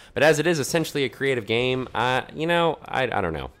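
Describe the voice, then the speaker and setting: In a very clean recording with a silent background, a man speaks with an American accent. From Conway (US college town). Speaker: gaming commentator. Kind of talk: casual gameplay commentary with storytelling. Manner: fast; casual, hesitant with many fillers.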